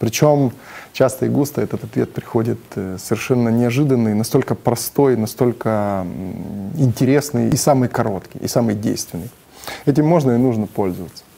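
A man's voice has a dark, mellow tone and ordinary pitch variation. There is light background noise. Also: moderate pace. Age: 40s. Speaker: businessman, fasting program participant. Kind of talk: testimonial; interview answer. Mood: calm, positive. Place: studio. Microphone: lapel.

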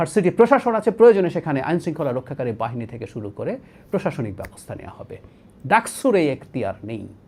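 The loudness rises and falls sharply. Pitch swings across a very wide range. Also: man, high pitch for a man. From Bangladesh, Rangamati district. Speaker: political commentator. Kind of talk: political commentary monologue.

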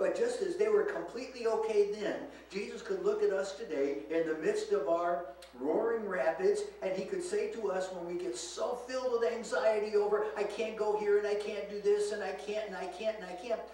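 A man's high voice with ordinary pitch variation, audible room echo and light background noise. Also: moderate pace. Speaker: preacher. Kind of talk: sermon. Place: church. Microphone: camera far.

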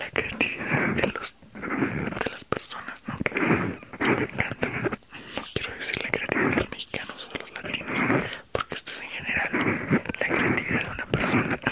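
Whispering at a fairly slow pace, a man talks with hardly any pauses. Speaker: ASMR creator; teacher. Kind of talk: ASMR sleep video. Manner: soft-spoken. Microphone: studio mic.

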